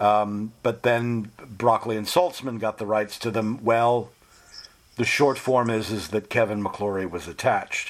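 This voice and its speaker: A man with a medium pitch, an ordinary speaking voice, and a moderate pace. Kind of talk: casual interview.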